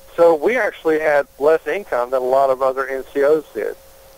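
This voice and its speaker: The sound is dry and close, with no echo, though noticeable background noise is present. A man speaks at a fairly high pitch. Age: 50s. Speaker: congressional candidate. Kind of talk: interview.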